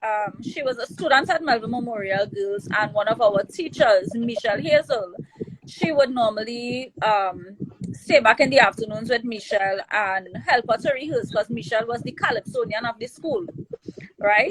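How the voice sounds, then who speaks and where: This woman's fairly high voice, with ordinary pitch variation, moves at a moderate pace while noticeable background noise plays behind it. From Trinidad and Tobago, Belmont. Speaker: calypso and soca singer. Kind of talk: interview. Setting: live stream.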